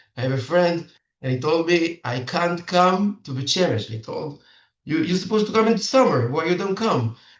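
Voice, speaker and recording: A man with an Israeli accent speaks in a high voice at a moderate pace, his intonation lively. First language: Hebrew. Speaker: matchmaker. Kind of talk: seminar talk. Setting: video call. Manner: halting.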